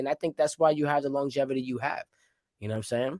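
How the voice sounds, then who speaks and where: A man's medium-pitched voice, dry and close with no echo, on a very clean recording with a silent background. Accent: New York. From Rhode Island, Providence. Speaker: podcast host. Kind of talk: casual chat.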